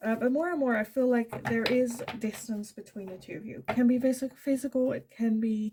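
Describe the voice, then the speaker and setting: Her voice high-pitched with a dark, mellow tone, a woman speaks with fairly even intonation. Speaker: tarot card reader.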